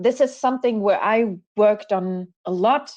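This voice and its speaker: A woman with a German accent speaks with ordinary pitch variation against a quiet background. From Germany. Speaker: panel moderator. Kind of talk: panel discussion.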